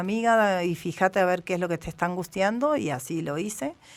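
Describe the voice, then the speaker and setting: A woman in an Argentine accent, her pitch fairly low. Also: very clean recording, silent background. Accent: Argentine Spanish (Rioplatense). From Argentina. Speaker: journalist. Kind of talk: interview. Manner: hesitant, many fillers.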